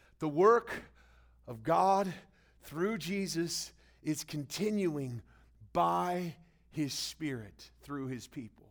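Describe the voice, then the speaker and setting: Speaking very slowly at a fairly high pitch, a man leaves long, frequent pauses in a very clean recording with a silent background. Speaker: pastor. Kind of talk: sermon. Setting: church. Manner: preacherly, call-and-response, animated.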